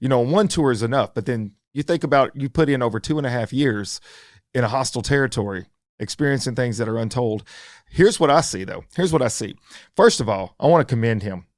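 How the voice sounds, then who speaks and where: A man talks at a very fast pace with lively intonation and medium pitch. The recording is very clean, with a silent background. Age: 50s. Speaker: podcast host, firefighter paramedic. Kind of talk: interview conversation. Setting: studio.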